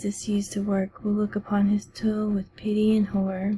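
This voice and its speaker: The speaker is soft-spoken and keeps a moderate pace. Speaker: ASMR book reader. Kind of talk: ASMR book reading.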